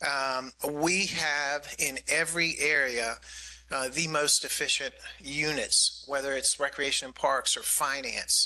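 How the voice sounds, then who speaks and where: A man talks fairly slowly as noticeable background noise runs underneath. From US Northeast, New York City. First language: Greek. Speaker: county government official. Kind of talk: budget presentation at public meeting. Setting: community meeting with audience.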